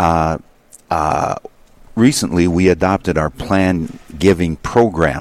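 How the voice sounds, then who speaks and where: This man's pitch is very deep and low. He talks very slowly. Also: ordinary pitch variation. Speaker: fundraising director. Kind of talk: radio interview.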